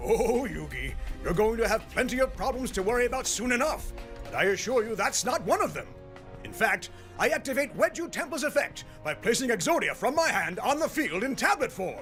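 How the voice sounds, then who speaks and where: Over clear music in the background, a man does a put-on character voice at an extremely high pitch and a fairly quick pace. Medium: dub.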